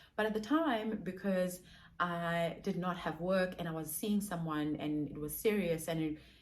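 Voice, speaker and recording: Audible room echo surrounds a woman whose fairly low voice shows ordinary pitch variation. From South Africa. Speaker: digital marketer and content creator. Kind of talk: vlog monologue. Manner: fast.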